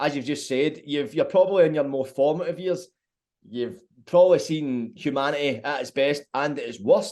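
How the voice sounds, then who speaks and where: A man with a Glaswegian accent, fairly high pitch, ordinary pitch variation and moderate pace, over a quiet background. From Scotland, Glasgow. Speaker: podcast host. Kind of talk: interview.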